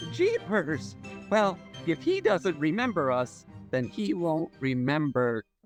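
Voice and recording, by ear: Faint music plays in the background as a put-on character voice speaks at a middle pitch and a fairly slow pace.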